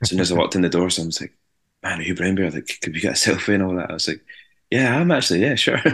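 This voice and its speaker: Over a quiet background, a man speaks at a very fast pace in a very deep, low pitch. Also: ordinary pitch variation. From Scotland, Ayrshire. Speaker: rock band singer. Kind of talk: casual interview chat.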